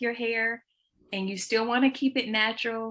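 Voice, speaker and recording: With an American accent, a woman speaks at a moderate pace in a bright, sharp tone. Her intonation is fairly even, and the background is quiet. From US South, Georgia. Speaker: children's book author. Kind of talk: interview. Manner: hesitant, many fillers.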